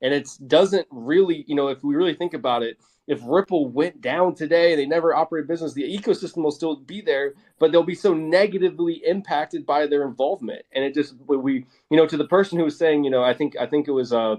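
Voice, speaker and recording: A very fast pace in a Philadelphia accent, with an animated tone, ordinary pitch variation and a dry, close sound with no echo. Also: man, fairly high pitch for a man. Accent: Philadelphia American English. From US Northeast, Philadelphia. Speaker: crypto investor and content creator. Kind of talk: panel discussion on a live audio space. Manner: animated, repetitive with many fillers.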